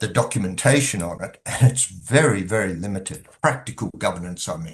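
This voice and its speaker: Somewhat breathy and fairly low, a man's voice moves at a fairly quick pace with lively intonation and big swings in loudness. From Australia. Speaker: governance consultant. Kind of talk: podcast interview.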